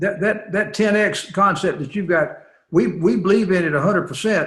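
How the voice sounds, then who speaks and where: Here a man talks in a Southern US accent with ordinary pitch variation. The pace is fairly quick. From US South. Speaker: company CEO and interviewer. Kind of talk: interview. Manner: repetitive, stammering.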